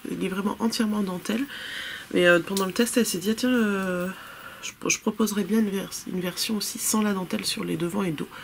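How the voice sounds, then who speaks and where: A woman at medium pitch, fairly quick, with fairly even intonation and noticeable background noise. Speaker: knitting podcaster. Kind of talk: casual chat. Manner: hesitant, many fillers.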